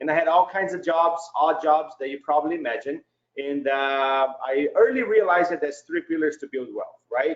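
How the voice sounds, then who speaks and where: The speaker has a Brazilian Portuguese accent and ordinary pitch variation. The pace is moderate. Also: man, fairly high pitch for a man. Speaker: real estate investor. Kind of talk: webinar presentation.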